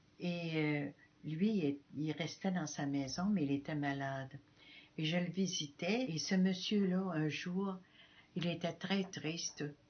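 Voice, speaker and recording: A woman with fairly low pitch talks at a very slow pace, with ordinary pitch variation. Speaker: missionary nun. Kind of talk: testimony. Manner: halting.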